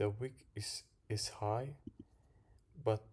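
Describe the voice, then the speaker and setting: The voice has a dark, mellow tone and is somewhat breathy. The pace is very slow. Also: man. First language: not English. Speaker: crypto trader and drywall worker. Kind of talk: chart analysis video. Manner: halting, repeats words.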